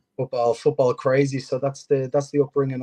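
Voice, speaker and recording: The sound is dry and close, with no echo and a quiet background. A man speaks at a medium pitch. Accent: strong Irish. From Ireland. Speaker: football coach. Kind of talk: interview. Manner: hesitant, many fillers.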